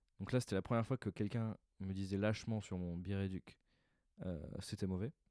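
Over a quiet background, a man with a very deep, low pitch and a dark, mellow tone talks at a very fast pace in a deadpan tone with fairly even intonation, the sound dry with no echo. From France. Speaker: stand-up comedian. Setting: recording alone at home in the evening. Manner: casual, hesitant, improvised, filler-heavy, deadpan and self-deprecating. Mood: reflective, slightly rueful. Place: home room. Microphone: handheld.

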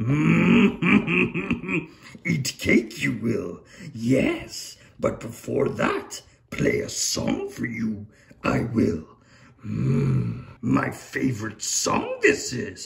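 In a cartoonish character voice, a man speaks at a very slow pace. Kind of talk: comedy puppet sketch. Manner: inverted word order, croaky, ponderous.

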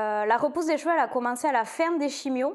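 Against a quiet background, a woman speaks at a fairly quick pace. Her pitch varies in an ordinary way. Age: 30s. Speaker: breast cancer patient giving testimony. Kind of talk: testimony. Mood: emotional but upbeat, animated. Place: home room. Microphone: lapel.

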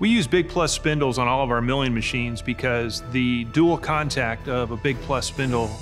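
Over clear background music, a man talks at a moderate pace with ordinary pitch variation and hardly any pauses. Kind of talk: interview answer. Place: shop.

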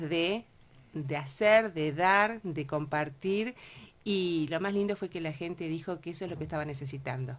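Someone speaks at a moderate pace in a Uruguayan accent, with ordinary pitch movement and a very clean recording over a silent background. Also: woman. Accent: Rioplatense Spanish (Uruguayan). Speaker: cancer support group co-founder. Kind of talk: radio interview. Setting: radio studio.

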